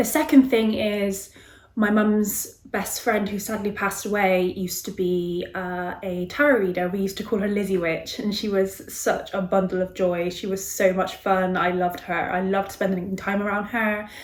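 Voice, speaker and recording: A woman of medium pitch talks at a moderate pace with hardly any pauses and fairly even intonation. Audible room echo and noticeable background noise are present. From West Country, England (Bristol). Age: 30s. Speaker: tarot reader. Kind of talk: casual self-introduction to camera. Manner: hesitant, many filler ums.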